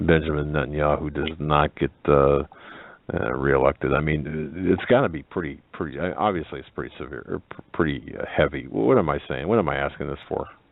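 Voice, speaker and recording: A man with a very deep, low pitch talks at a fairly quick pace. His loudness swings widely over noticeable background noise. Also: ordinary pitch variation. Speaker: radio host. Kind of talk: radio interview. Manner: halting, stammering.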